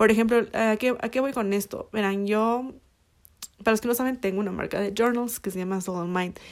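Her voice fairly high and her intonation fairly even, a woman speaks at a moderate pace. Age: 20s. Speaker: podcast host. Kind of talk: casual chat. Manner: hesitant, many fillers.

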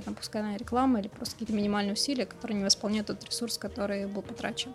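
The voice belongs to a woman and sits fairly high. Its pitch moves in a typical way. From Moscow, Russia. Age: young. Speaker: coffee book editor and coordinator. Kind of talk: casual chat.

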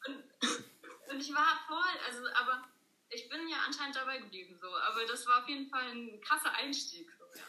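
Projecting her voice, a woman speaks at a high pitch and a moderate pace, with ordinary pitch variation, big swings in loudness and audible room echo. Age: 20s. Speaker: law trainee, former scout. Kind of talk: casual interview chat. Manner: hesitant, many fillers.

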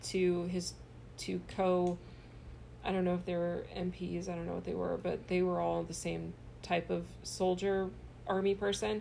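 There is audible room echo as a woman speaks. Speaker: comedian. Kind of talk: casual chat.

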